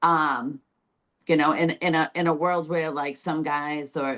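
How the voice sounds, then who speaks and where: A woman speaks with a strong New England accent at a moderate pace. Her pitch is very deep and low. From Massachusetts, between Boston and Providence. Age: 40s. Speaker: bodybuilder. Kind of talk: casual interview. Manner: animated.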